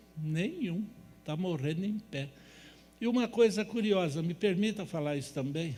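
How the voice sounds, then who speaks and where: A man with a high voice speaks at a moderate pace with ordinary pitch variation, and room echo is audible. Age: 70s. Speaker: natural health lecturer. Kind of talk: lecture. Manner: animated.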